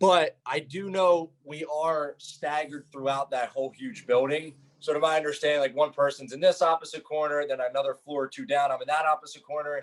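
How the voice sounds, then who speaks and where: At a fairly quick pace with hardly any pauses, a man talks in a fairly high pitch. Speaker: reality TV contestant. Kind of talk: interview. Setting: video call. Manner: loud; animated.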